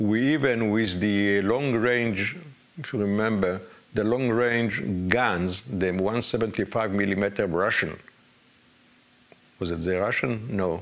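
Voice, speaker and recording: Long, frequent pauses break up a man's fairly low-pitched speech, which carries audible room echo. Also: ordinary pitch variation, fairly slow pace. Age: 80s+. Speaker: retired army general, war veteran. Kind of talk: interview. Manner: halting, many fillers.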